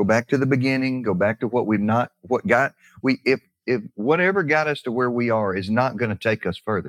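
A man talks with a Southern US accent and ordinary pitch variation. The sound is dry and close, with no echo. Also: medium pitch for a man, fairly quick pace. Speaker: real estate investor co-host. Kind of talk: casual chat.

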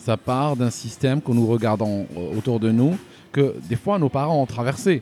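A man's medium-pitched voice with a dark, mellow tone, lively intonation and a fairly slow pace. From Algeria. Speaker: YouTube news commentator. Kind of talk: casual interview. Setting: in person, Paris. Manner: halting, many repetitions.

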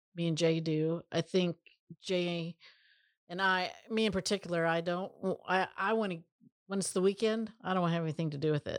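This woman has an unremarkable speaking voice, fairly low in pitch with ordinary pitch variation. The very clean recording has a silent background and a dry, close sound with no echo. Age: 50s. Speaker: co-founder of family business. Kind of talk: interview.

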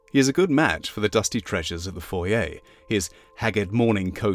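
Here the text is read aloud in a natural voice.

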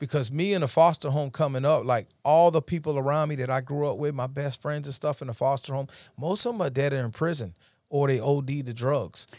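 In a very clean recording with a silent background, a man with an American accent and an ordinary speaking voice talks fairly quickly at a fairly high pitch with ordinary pitch variation. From upstate New York, Rochester. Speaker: DJ and ministry speaker. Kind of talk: testimony. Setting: studio.

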